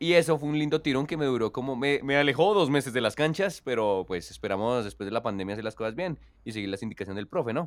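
A very fast pace with hardly any pauses and lively intonation. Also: man, medium pitch for a man, very clean recording, silent background. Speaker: podcast co-host. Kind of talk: casual chat.

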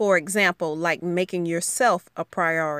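The voice has a Southern US accent, moving at a moderate pace with ordinary pitch variation. The sound is dry and close with no echo, on a very clean recording with a silent background. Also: woman. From US South, rural Alabama. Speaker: podcast host and educator. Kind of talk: solo podcast monologue.

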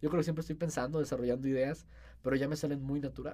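A man talks at a very fast pace. His voice has a dark, mellow tone. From Saltillo, Coahuila, northern Mexico. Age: 20s. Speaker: social media influencer and student. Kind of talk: casual interview chat.

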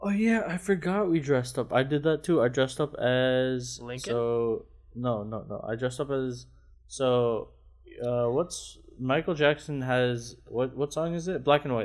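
A plain, everyday voice from a man, medium-pitched, with ordinary pitch variation at a fairly slow pace. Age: 20s. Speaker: podcast co-host. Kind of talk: casual chat. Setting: video call.

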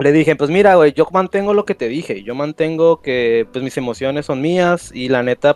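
Here a man talks at a moderate pace with a fairly high pitch and ordinary pitch variation. The sound is dry and close, with no echo. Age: 20s. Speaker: caller. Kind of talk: casual chat. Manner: halting.

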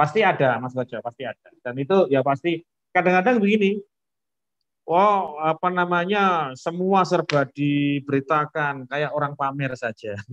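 This is a man with a normal speaking voice, pitched fairly high, using lively intonation. He keeps a moderate pace, and the sound is dry and close with no echo. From Indonesia, Lamongan, East Java. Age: 40s. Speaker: village head. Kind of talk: casual interview.

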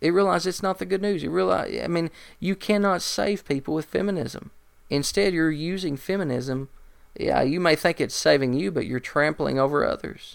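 Here is a man with an unremarkable speaking voice, pitched fairly high. He talks at a fairly quick pace with lively intonation on a very clean recording with a silent background. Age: 30s. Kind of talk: monologue commentary.

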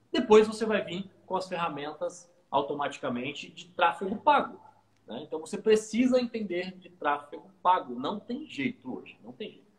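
A man keeps a moderate speed, his intonation lively throughout. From Santos, São Paulo coast, Brazil. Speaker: digital marketing agency owner. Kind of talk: casual interview chat.

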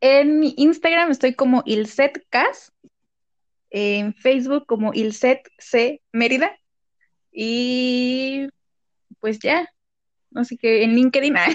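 Very slowly and with long, frequent pauses, a woman speaks at a high pitch with ordinary pitch variation, in a dry, close sound with no echo. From Mexico, Morelos. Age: 20s. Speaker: podcast co-host, marketer. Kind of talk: casual chat.

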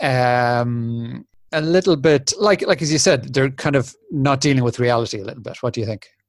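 Talking at a fairly quick pace, a man speaks in a northwest Irish accent. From Republic of Ireland, Sligo. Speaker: podcast host. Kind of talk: casual chat. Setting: video call.

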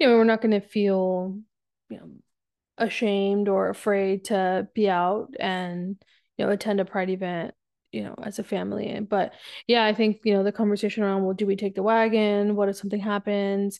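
Her loudness swings widely while a woman with an American accent speaks in a monotone, flat intonation. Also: medium pitch for a woman, moderate pace. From South Texas. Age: 30s. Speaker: podcast guest, host's wife. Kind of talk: casual chat.

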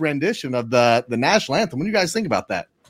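Lively intonation marks this man's speech, recorded very cleanly against a silent background. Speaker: sports podcast co-host. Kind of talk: casual chat.

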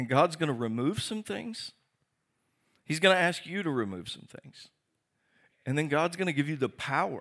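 On a very clean recording with a silent background, a man with a fairly high voice speaks at a moderate pace. His intonation is lively, broken by long, frequent pauses. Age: 50s. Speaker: pastor. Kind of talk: sermon.

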